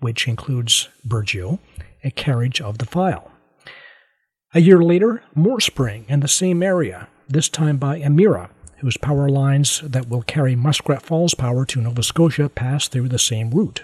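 Somewhat breathy and at a fairly high pitch, a man talks at a moderate pace with lively intonation, the sound dry and close with no echo. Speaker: podcast host. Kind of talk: news-style podcast narration and interview.

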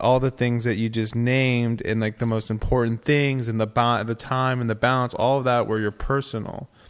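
In a very clean recording with a silent background, a man speaks at medium pitch with fairly even intonation in a plain, everyday voice. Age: 30s. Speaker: former model and artist. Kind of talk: casual chat.

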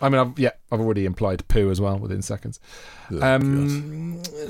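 Here a man speaks with a British accent at a fairly high pitch. His voice swings very widely up and down. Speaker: comedy podcast co-host. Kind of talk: casual banter. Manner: animated.

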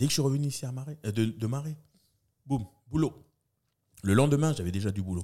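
A man's medium-pitched, dark, mellow voice at a very fast pace, with lively intonation and long, frequent pauses. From New Caledonia, Magenta towers (Nouméa). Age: 40s. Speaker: event host and comedian. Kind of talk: casual interview chat.

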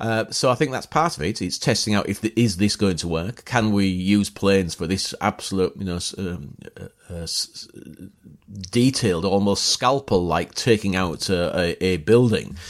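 At a moderate pace, a fairly low-pitched man with a Yorkshire accent speaks with ordinary pitch variation and big swings in loudness. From northern England, near York. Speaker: battlefield historian and tour guide. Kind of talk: casual chat. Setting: outdoors. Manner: halting.

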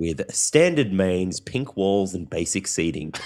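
A man speaks with an Australian accent in a very deep, low pitch. His intonation is lively and his pace fairly slow. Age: 30s. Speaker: food podcast host. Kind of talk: casual chat.

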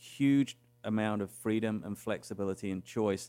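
In a very clean recording with a silent background, a man speaks. His voice is fairly low, with an English accent. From England. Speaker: cruise line executive. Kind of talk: interview.

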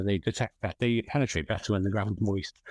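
This very clean recording with a silent background captures a man with an English accent at a fairly low pitch, the sound dry and close with no echo. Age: 30s. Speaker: metal detectorist. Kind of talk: casual chat. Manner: halting.

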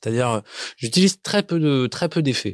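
A man's voice, dry and close with no echo. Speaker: singer-songwriter. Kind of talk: interview about making a song. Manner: halting, many repetitions and fillers.

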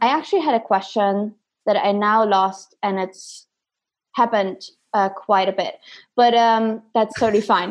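Long, frequent pauses mark a woman's speech, delivered with fairly even intonation. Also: fairly high pitch for a woman, moderate pace. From Germany. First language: German. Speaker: podcast host, performance coach. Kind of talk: casual interview. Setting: video call.

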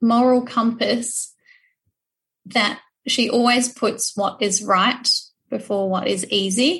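A woman with a New Zealand accent, fairly high pitch, fairly even intonation and a very slow pace. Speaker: social enterprise manager. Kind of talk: interview.

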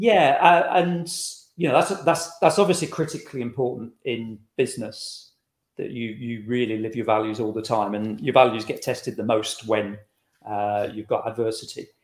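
An ordinary speaking voice from a man, medium in pitch, moderate in pace, with lively intonation. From England, Lincolnshire (Boston). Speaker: author. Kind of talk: interview.

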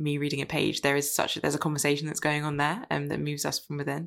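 A woman rattles along at a very fast pace in a very deep, low voice with vocal fry. Her intonation is monotone and flat. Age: 20s. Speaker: podcast host. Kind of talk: interview conversation.

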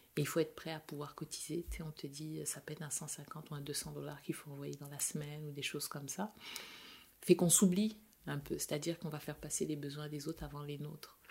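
A woman with a dark, mellow tone and a very deep, low pitch, plus some vocal fry. She talks at a fairly quick pace with fairly even intonation and big swings in loudness. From France, with Senegalese family. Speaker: chemical engineer, immigrant. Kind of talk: interview conversation.

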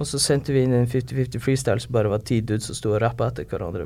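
His voice has a dark, mellow tone at a medium pitch. The man's pitch varies in an ordinary way. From northern Norway, Harstad. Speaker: rapper. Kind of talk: casual chat.

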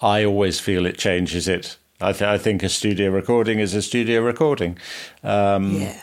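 A man with an unremarkable speaking voice talks at a moderate pace, his fairly low pitch carried by fairly even intonation and very even loudness. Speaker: orchestral cellist. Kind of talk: casual interview chat.

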